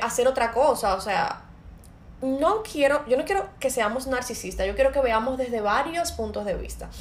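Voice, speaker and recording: Noticeable background noise runs under the recording. A woman talks at a high pitch and a moderate pace. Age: 30s. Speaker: podcast host and entrepreneur. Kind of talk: casual chat.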